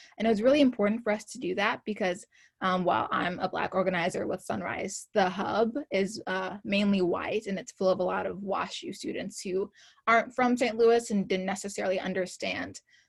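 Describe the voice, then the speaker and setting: Somewhat breathy and at a fairly quick pace, a woman talks at a medium pitch with ordinary pitch variation. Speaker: climate activist organizer. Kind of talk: presentation. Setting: video call. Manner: fast.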